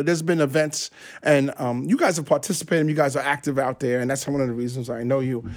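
On a very clean recording with a silent background, a man in an American accent uses a normal speaking voice, a fairly high pitch and ordinary pitch variation. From New York City, Brooklyn. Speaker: restaurant co-owner and lawyer. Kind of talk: casual interview.

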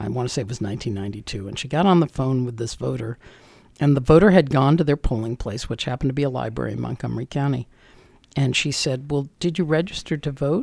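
A man with an American accent speaks at a very fast pace in a somewhat breathy, medium-pitched voice with ordinary pitch variation. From Northern Virginia, US. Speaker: county election director. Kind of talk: interview. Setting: studio.

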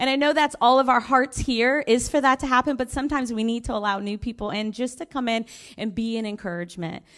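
A high-pitched woman with an American accent at a fairly quick pace with ordinary pitch variation, on a very clean recording with a silent background. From US, Florida. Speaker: missionary. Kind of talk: testimony.

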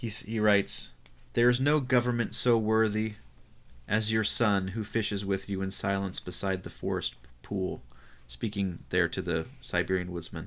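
Here is a man with an ordinary speaking voice. His pitch is fairly low. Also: moderate pace. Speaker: podcast co-host. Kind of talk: casual podcast conversation about poetry.

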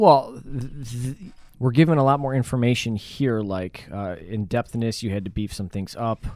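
This man has an unremarkable speaking voice at medium pitch. He keeps a moderate pace with ordinary pitch variation. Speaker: podcast host. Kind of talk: casual chat.

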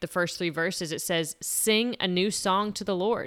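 This woman's unremarkable speaking voice holds a medium pitch and a moderate pace. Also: very clean recording, silent background. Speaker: podcast co-host, parent. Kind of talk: casual chat.

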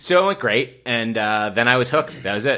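Male voice with vocal fry, very wide pitch swings and a bright, sharp tone, at a moderate pace. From Massachusetts (Rockland, near Boston). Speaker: stand-up comedian and comedy producer. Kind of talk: casual interview chat. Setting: living room recording.

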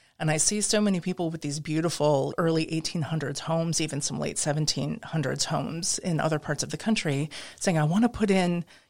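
A woman with an American accent and an ordinary speaking voice, fairly low in pitch, at a fairly quick pace with ordinary pitch variation, on a very clean recording with a silent background. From US Midwest. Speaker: interior designer and historic preservation expert. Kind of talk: casual interview. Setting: studio.

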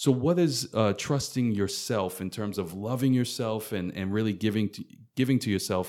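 A man with an American accent and an ordinary speaking voice, fairly low in pitch, at a moderate pace with ordinary pitch variation, on a very clean recording with a silent background. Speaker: podcast host and coach. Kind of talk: casual interview.

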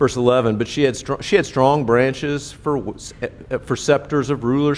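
A man with a fairly high pitch and ordinary pitch variation talks in an ordinary speaking voice. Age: 60s. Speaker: pastor. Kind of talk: sermon. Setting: church.

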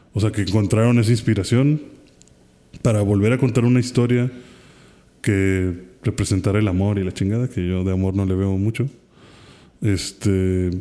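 With a dark, mellow tone and a Mexican accent, a man speaks at a fairly low pitch, his intonation fairly even and broken by long, frequent pauses. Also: moderate pace. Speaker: podcast co-host. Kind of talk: casual chat.

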